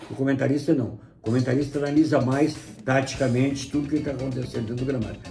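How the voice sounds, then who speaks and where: A man speaks at a very fast pace with music in the background. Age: 70s. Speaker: football radio commentator. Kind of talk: interview. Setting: at his home.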